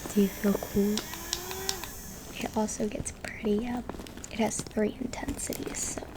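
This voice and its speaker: A soft-spoken woman talks at a fairly high pitch in a monotone, flat way, at a fairly slow pace. Long, frequent pauses break up her speech over noticeable background noise. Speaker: college student. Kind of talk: ASMR show-and-tell.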